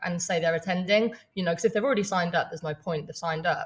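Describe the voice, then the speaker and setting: Somewhat breathy, a woman with an English accent speaks with ordinary pitch variation. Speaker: online business coach. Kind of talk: live training webinar. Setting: livestream. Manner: fast; casual, with fillers.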